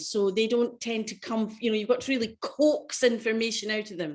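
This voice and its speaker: A woman's fairly high voice in a Scottish accent, against a quiet background. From Scotland. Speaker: choral singer and presenter. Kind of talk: online workshop presentation.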